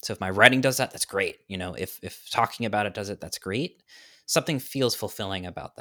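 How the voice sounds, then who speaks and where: In a very clean recording with a silent background and a dry, close sound with no echo, a man with an American accent speaks in a bright, sharp tone with lively intonation. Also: fairly low pitch for a man, fairly quick pace, big swings in loudness. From New York. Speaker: author. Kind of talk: casual chat.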